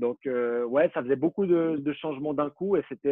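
The pitch moves in an ordinary way. It belongs to a man with a fairly high voice. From Switzerland, Vaud (Vallorbe). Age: 20s. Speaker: former professional footballer. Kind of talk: interview.

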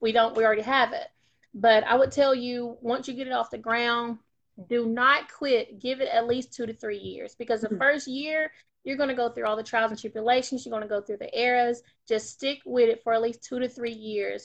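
With an Alabama accent, a woman talks at a fairly quick pace in a high voice, her intonation fairly even against a quiet background. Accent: Southern US (Alabama). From US South, North Alabama. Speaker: magazine publisher. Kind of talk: interview.

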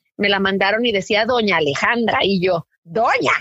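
A woman with a bright, sharp tone speaks at a moderate pace in a dry, close recording with no echo. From Mexico, Tijuana (US border). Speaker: journalist and podcaster. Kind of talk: interview. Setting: phone call.

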